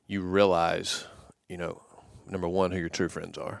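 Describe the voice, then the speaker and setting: Very deep, low pitch from a man with a Southern US accent, monotone and flat in intonation, at a moderate pace. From US South, Georgia. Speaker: former college quarterback and business executive. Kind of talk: casual interview. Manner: halting, many fillers.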